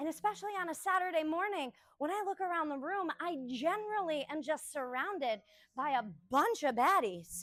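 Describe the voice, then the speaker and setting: Loud and lively in intonation, a woman talks at a fairly quick pace with an extremely high pitch. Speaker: yoga instructor. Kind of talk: live yoga class instruction.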